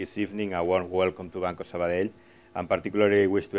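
A man's very deep, low voice stays in a monotone, flat intonation. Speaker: host giving welcome remarks. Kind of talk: formal welcome speech. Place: hall. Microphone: lapel.

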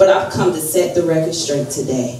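A woman with a very deep, low voice speaks amid audible room echo and light background noise. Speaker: speaker. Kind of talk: sermon. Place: church.

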